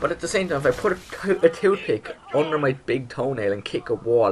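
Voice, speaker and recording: Lively intonation at a moderate pace over noticeable background noise. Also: man. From Ireland. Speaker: gaming YouTuber. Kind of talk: casual Q&A vlog. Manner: animated.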